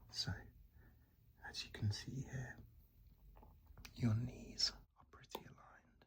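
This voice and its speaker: A man is whispering. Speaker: ASMR content creator playing a running shop assistant. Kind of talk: ASMR roleplay. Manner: soft-spoken, whispered.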